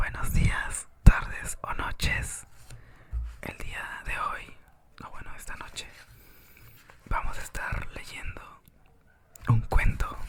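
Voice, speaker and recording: Whispering with long, frequent pauses and big swings in loudness, a man speaks very slowly over noticeable background noise. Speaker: ASMR reader. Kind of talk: whispered audiobook reading for sleep. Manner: whispered, soft, relaxing.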